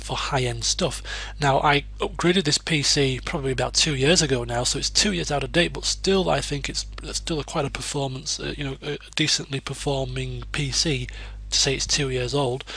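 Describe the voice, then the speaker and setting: Over noticeable background noise, a man with a British accent talks at a moderate pace. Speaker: gaming YouTuber (let's plays). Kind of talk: casual channel update. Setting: home desk recording. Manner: rambling, hesitant with fillers.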